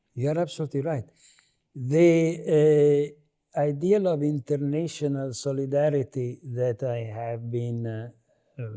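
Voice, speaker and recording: A man with an Italian accent speaks in a fairly high pitch with a dark, mellow tone. His pace is fairly slow, with ordinary pitch variation and long, frequent pauses. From Italy. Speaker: political philosopher, professor. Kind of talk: interview. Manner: halting.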